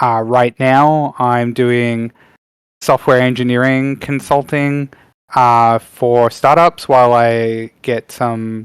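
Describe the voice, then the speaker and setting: A man with an Australian accent speaks at medium pitch. The recording is very clean, with a silent background and a dry, close sound with no echo. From Western Australia, Perth. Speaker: game industry professional. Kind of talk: presentation. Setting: panel event with audience. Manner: hesitant, many fillers.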